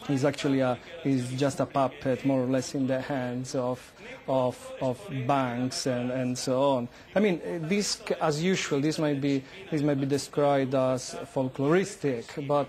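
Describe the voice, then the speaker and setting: Someone speaks with an Italian accent over noticeable background noise. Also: man, fairly high pitch for a man, ordinary pitch variation, fairly slow pace. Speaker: political historian, university lecturer. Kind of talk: news interview. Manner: halting, many fillers and restarts.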